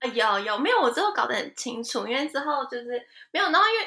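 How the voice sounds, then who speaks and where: In a raised, projected voice, a woman's pitch swings very widely. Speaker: fashion industry worker in Japan. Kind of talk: casual interview chat. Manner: animated.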